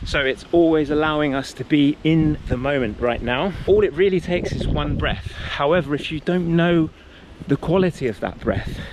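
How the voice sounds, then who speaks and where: Over noticeable background noise, a man with a fairly high voice speaks at a moderate pace with ordinary pitch variation. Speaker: wellness coach. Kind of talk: motivational talk.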